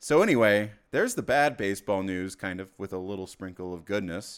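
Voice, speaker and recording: A man talks in a plain, everyday voice with a fairly low pitch and ordinary pitch variation. His pace is moderate, and the recording is very clean with a silent background. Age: 30s. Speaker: sports podcast co-host. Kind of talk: casual chat.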